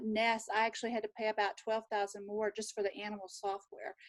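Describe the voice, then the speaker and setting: A fairly high-pitched woman with a Southern US accent. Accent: Southern drawl. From Texas. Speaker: nurse. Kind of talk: casual chat.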